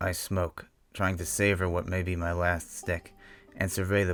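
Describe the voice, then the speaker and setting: Monotone, flat intonation over music in the background. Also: man. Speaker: horror story narrator. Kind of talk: Western horror story narration, first-person.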